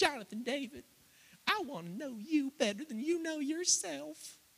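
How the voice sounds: In a put-on character voice, a man speaks at an extremely high pitch with a Southern US accent as part of the act. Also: moderate pace. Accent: Southern belle.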